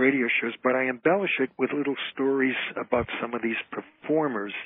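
A man with an unremarkable speaking voice. His pitch sits in the medium range, and he talks at a moderate pace. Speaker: entertainer, comedian and author. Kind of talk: interview answer.

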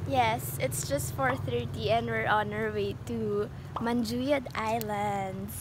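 Over noticeable background noise, with a dry, echo-free sound, a woman with a very deep, low pitch and an upbeat tone talks at a very slow pace with ordinary pitch variation. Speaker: travel vlogger. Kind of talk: casual travel vlog talk to camera. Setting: outdoors. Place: boat. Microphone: phone near.

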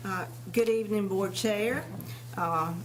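With an eastern North Carolina accent, the voice moves at a fairly slow pace, with noticeable background noise and audible room echo. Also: woman. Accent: US Southern (eastern North Carolina). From eastern North Carolina, Tarboro. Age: 60s. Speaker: retired dental hygienist, board appointee candidate. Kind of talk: prepared statement at public board meeting.

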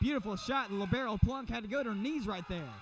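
A man's voice with noticeable background noise. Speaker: volleyball commentator. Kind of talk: live sports commentary, play-by-play. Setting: arena with crowd, courtside.

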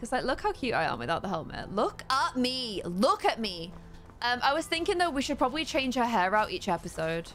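Over faint music in the background, a woman talks at a fairly quick pace in an animated tone, her high voice moving through very wide pitch swings. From UK. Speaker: gaming streamer. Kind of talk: live gameplay commentary. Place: home room.

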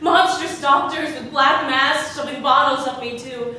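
Using a raised, projected voice, a woman speaks at a fairly slow pace with ordinary pitch variation, amid light background noise and strong room echo. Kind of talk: dramatic theatrical monologue. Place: stage. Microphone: camera far.

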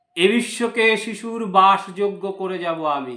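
Here a man speaks with a bright, sharp tone and ordinary pitch variation. The recording is very clean, with a silent background. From West Bengal, India. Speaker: YouTube news commentator. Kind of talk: opinion commentary monologue. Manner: halting, with frequent pauses.

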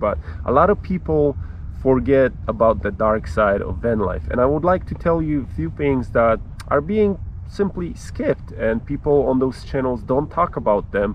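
A man speaks at a moderate pace. The sound is dry with no echo, over light background noise. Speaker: travel vlogger. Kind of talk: casual vlog chat. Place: open country.

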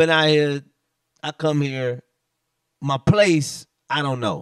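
The recording of this man sounds dry with no echo against a quiet background. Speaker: podcast host. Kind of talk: casual podcast storytelling. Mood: animated, venting about apartment. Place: home room. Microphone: handheld.

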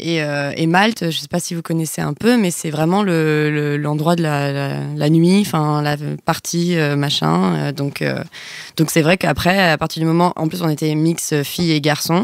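Speaking at a fairly slow pace, a woman has a very deep, low pitch and ordinary pitch variation. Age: 20s. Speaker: graphic designer, podcast guest. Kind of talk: casual chat.

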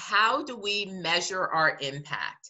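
The background is quiet. A woman talks with an American accent. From US Northeast, New Jersey. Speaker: museum director. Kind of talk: interview. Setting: video call. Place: home room. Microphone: webcam.

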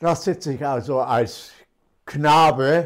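The speaker is a man with a fairly high voice. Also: quiet background. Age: 80s+. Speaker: retired teacher. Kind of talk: interview answer. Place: home room.

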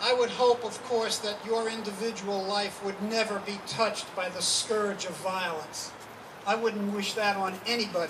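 Over noticeable background noise, a man with a high voice talks at a moderate pace in a monotone, flat intonation. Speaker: anti-death-penalty activist speaker. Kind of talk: rally speech. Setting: stage with audience at a rally. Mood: earnest, indignant. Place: street. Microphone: handheld.

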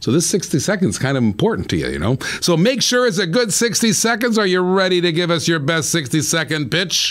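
A man's high, animated voice with lively intonation at a fairly quick pace. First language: not English. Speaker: show host. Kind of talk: live interview show. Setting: live broadcast from Florida. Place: studio. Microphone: studio mic.

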